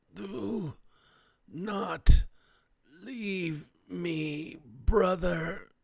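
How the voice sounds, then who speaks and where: Raspy, high-pitched put-on character voice from a man. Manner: pleading, soft.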